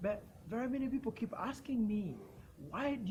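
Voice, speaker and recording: Background noise is noticeable throughout. Through it, a man talks. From Uganda. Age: 20s. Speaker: youth health rights advocate. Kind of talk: personal testimony and advocacy talk. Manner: some repetitions and self-corrections.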